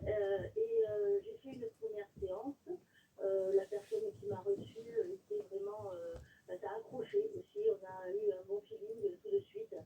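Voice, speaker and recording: A woman speaks at a fairly slow pace. Her loudness swings a lot. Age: 60s. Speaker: caller, nurse. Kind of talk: testimony. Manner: halting, many filler sounds.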